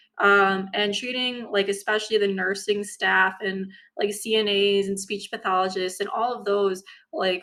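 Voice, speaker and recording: Her tone bright and sharp, a woman speaks at medium pitch and a fairly slow pace with fairly even intonation. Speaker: medical student. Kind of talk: casual talk to camera. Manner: slow at points.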